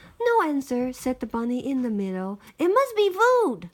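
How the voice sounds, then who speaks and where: A woman puts on a character voice, pitched high. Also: moderate pace. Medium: read story. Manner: innocent, literal-minded.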